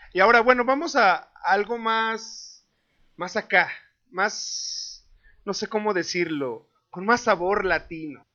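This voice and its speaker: With a Mexican accent, a man talks at a very slow pace in a high pitch, his intonation lively. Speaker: podcast co-host. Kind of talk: casual chat.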